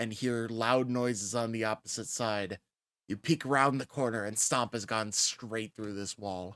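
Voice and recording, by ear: Someone is reading aloud in a natural voice over a quiet background.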